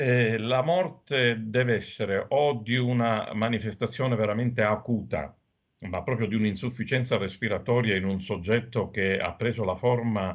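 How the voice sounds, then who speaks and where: At a moderate pace, with ordinary pitch variation, this is a normal speaking voice. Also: man, medium pitch for a man. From Sicily, Agrigento. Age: middle-aged. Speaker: doctor. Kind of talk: TV interview.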